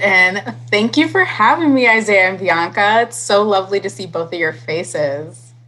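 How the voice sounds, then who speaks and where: With an American accent, a woman speaks at a moderate pace and medium pitch, her bright, sharp tone moving through very wide pitch swings with hardly any pauses. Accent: slight Cleveland Midwest accent, occasional. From Cleveland, Ohio, US Midwest. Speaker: public health manager. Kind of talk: podcast interview. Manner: hesitant, many fillers.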